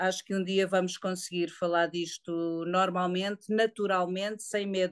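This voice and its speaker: A woman speaks at a fairly slow pace with hardly any pauses, her medium-pitched voice flat and monotone. The sound is dry and close with no echo, over a quiet background. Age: 50s. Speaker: woman living with HIV. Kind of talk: testimony. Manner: halting.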